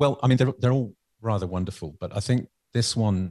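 Somewhat breathy and dark, mellow in tone, a man speaks at a fairly quick pace in a dry, close sound with no echo. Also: quiet background. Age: 50s. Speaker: music lecturer and composer. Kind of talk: casual interview.

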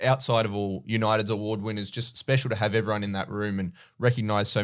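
In a very clean recording with a silent background, a man speaks with an Australian accent. His pace is very fast and his intonation fairly even. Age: 20s. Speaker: basketball podcast host. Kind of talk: casual chat.

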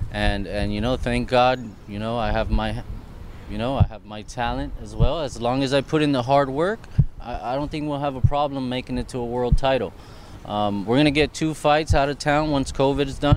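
With a medium pitch and ordinary pitch variation, a man speaks at a fairly quick pace, his loudness swinging widely. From Miami, Florida, Puerto Rican and Colombian heritage. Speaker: professional boxer. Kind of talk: interview. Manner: halting.

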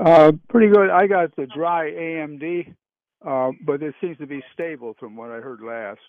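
At a fairly slow pace, a man with a fairly high pitch speaks with lively intonation and big swings in loudness. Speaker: caller. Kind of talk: phone-in question. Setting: phone call. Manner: halting.

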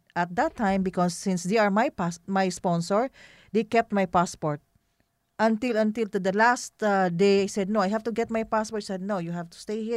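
A woman speaks at a medium pitch in a Filipino accent. The sound is dry and close, with no echo. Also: very clean recording, silent background. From Philippines. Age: 50s. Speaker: business owner and community leader. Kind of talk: interview. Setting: office studio.

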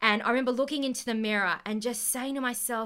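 In an Australian accent, a woman speaks with a high pitch, ordinary pitch variation and a bright, sharp tone on a very clean recording with a silent background. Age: 20s. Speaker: podcast host and company co-founder. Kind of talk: casual interview chat; scripted outro. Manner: animated.

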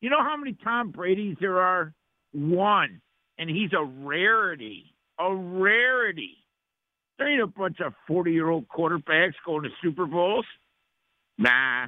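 The talking goes fairly slowly. Pauses are long and frequent. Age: 50s. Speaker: caller. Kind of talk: call-in to sports radio. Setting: phone call. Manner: animated.

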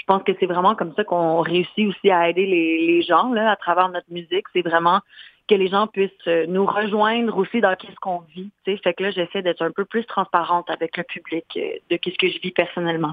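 Here a woman speaks at medium pitch and a moderate pace. Her intonation stays monotone and flat. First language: English or Spanish (speaking French). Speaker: singer and fashion model. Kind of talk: radio interview. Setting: phone call.

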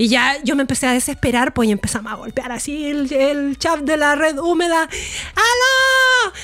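Her raised, projected voice sits at a high pitch, with lively intonation and a moderate pace. The woman hardly pauses, and noticeable background noise runs underneath. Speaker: sex educator podcast co-host. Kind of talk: casual chat.

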